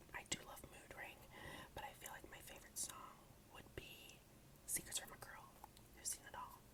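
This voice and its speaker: A man is whispering. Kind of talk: ASMR collection video, casual talk to camera. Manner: whispered, soft-spoken.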